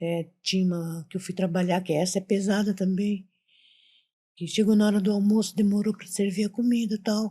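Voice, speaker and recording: At a moderate pace, a woman speaks in a somewhat breathy, dark, mellow voice of medium pitch with monotone, flat intonation. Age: 60s. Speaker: retired domestic worker, mother of the host. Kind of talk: casual interview storytelling.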